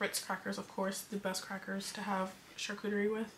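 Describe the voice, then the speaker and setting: A woman with an American accent at a moderate pace, monotone and flat in intonation, over noticeable background noise. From California. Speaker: lifestyle vlogger. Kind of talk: casual vlog talk to camera.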